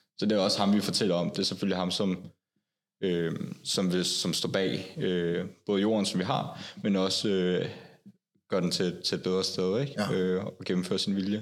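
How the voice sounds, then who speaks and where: A man speaks fairly slowly in a very deep, low voice. His delivery is monotone and flat, at very even loudness. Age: 20s. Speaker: Jehovah's Witness, security worker. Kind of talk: casual interview.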